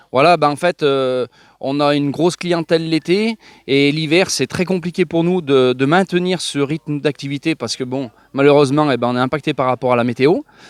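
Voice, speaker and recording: The recording is very clean, with a silent background and a dry, close sound with no echo. A man with a fairly high voice talks at a moderate pace with ordinary pitch variation. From France, Loire (Saint-Étienne area). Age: 30s. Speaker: farmer and horse breeder. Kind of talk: interview. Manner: hesitant, many fillers.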